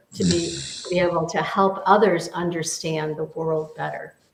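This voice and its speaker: A woman with an American accent speaks at a fairly low pitch with ordinary pitch variation, over noticeable background noise. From US Midwest, near Detroit, Michigan. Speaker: business mentor and teacher. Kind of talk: casual discussion. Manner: halting, many repetitions.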